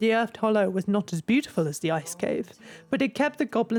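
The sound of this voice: With lively intonation, an unforced reading voice carries the clip.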